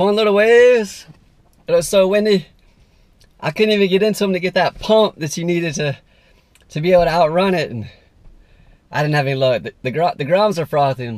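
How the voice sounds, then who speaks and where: A man talks at a fairly quick pace in a high pitch. The sound is dry with no echo, over a quiet background. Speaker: surf vlogger. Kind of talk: casual vlog chat. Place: car. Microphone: phone near.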